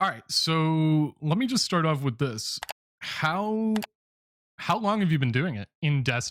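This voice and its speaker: At a fairly slow pace, a man speaks with a fairly high pitch and very wide pitch swings in a very clean recording with a silent background. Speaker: YouTube gamer and interviewer. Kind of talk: casual talk to camera.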